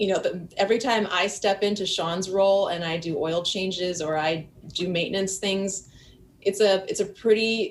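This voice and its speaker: A woman speaks at a fairly slow pace with an American accent. Her pitch sits in the medium range and varies in an ordinary way. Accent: Wisconsin accent, trying to lose it. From US Midwest, Milwaukee, Wisconsin. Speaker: boating YouTuber. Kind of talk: casual interview chat.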